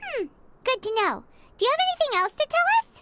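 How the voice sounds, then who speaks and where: A squeaky, put-on character voice from a woman, extremely high in pitch with lively intonation and a fairly quick pace, in a dry, close sound with no echo. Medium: video game. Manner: inquisitive, plain-spoken.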